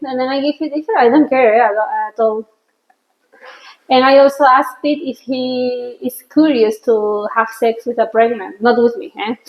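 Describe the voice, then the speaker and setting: A woman with a Spanish accent speaks at a moderate pace in a high voice, her pitch varying ordinarily while her loudness swings widely. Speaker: podcast host. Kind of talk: casual chat. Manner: halting.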